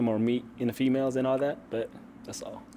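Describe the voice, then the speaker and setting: A man talks at a fairly quick pace and medium pitch, with ordinary pitch variation, over noticeable background noise. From Ethiopia. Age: 20s. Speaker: dating show contestant. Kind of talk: casual chat. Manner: halting, many fillers.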